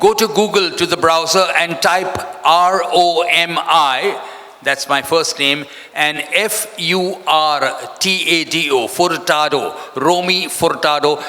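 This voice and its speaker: A man speaks in a high pitch with ordinary pitch variation. Noticeable background noise runs throughout. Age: 70s. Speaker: event MC. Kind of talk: event emceeing. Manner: animated.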